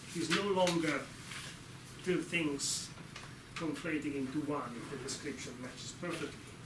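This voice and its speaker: A man speaks at a moderate pace with ordinary pitch variation. There is audible room echo and noticeable background noise. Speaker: lecturer. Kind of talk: lecture.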